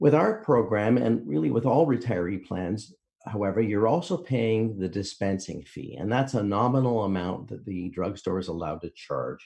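This man speaks with a Canadian accent in a dark, mellow tone, fairly low in pitch. His intonation is lively, his pace moderate, with hardly any pauses. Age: 60s. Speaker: insurance broker. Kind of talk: informational podcast discussion.

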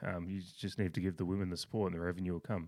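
A man with an Australian accent speaks at a very fast pace in a very deep, low pitch. His intonation is monotone and flat, and the recording is very clean with a silent background. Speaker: sports podcast host. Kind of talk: casual chat.

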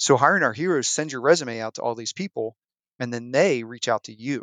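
With a normal speaking voice at medium pitch, a man talks at a moderate pace in a dry, close sound with no echo and a quiet background. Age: 40s. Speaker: military veteran. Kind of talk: interview.

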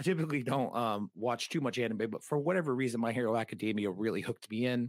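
Speaking at a very fast pace, a man with an American accent uses ordinary pitch variation. The recording is very clean, with a silent background and a dry, close sound with no echo. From New England, US (Massachusetts / Rhode Island). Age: 30s. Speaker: podcaster. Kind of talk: casual interview chat.

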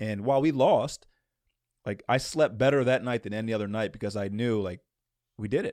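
A man speaks at a medium pitch with long, frequent pauses, the sound dry and close with no echo. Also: ordinary pitch variation. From US East Coast, moved around. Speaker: former pro basketball player and basketball trainer. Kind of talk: casual interview.

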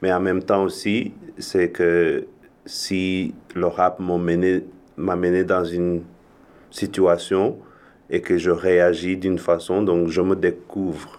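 The speech is very slow, with long, frequent pauses and a monotone, flat intonation. The background is quiet. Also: man, very deep, low pitch for a man. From Rwanda. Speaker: musician and multi-disciplinary artist. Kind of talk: casual interview chat.

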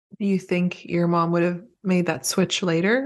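A woman speaks in a plain, everyday voice with a fairly low pitch. Her pace is moderate. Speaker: podcast host. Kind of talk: casual chat.

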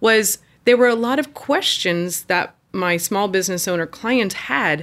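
A woman with an American accent talks at a moderate pace with lively intonation. Hers is an ordinary speaking voice. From Indiana. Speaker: business coach. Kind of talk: interview.

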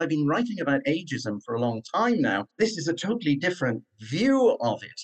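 A man with a fairly high pitch and vocal fry talks at a fairly quick pace with hardly any pauses. His pitch swings very widely, and the sound is dry and close with no echo. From Wales. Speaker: professor and former reserve police officer. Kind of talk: interview, conversational.

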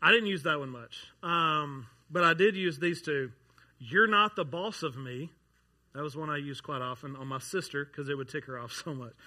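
Bright, sharp male voice at a fairly high pitch, fairly quick pace, big swings in loudness, ordinary pitch variation, and a very clean recording with a silent background. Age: 30s. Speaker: pastor. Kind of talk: sermon. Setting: church.

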